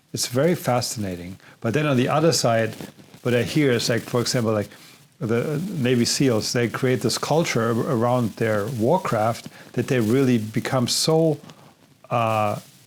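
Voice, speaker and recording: A man speaks with a German accent at a medium pitch. His pitch varies in an ordinary way at a moderate pace. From Germany. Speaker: podcast host and filmmaker. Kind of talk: interview conversation.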